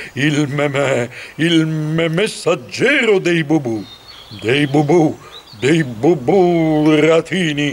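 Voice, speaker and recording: Using a put-on character voice at a fairly high pitch, a man speaks at a very slow pace with long, frequent pauses over clear background noise. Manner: heavy comic stutter.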